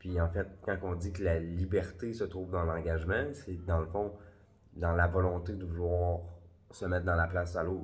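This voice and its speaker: A man with a Quebec accent speaks at a fairly slow pace in a very deep, low voice that is somewhat breathy, with audible room echo. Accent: Québécois French. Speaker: spiritual vlogger. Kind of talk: casual vlog monologue. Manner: hesitant fillers.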